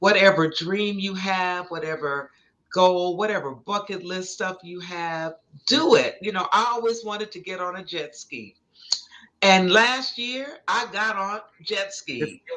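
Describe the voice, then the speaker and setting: A woman talks at a fairly slow pace with medium pitch and ordinary pitch variation. Her tone is bright and sharp, and her loudness swings widely. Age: 70s. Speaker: psychologist and speaker. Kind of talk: interview.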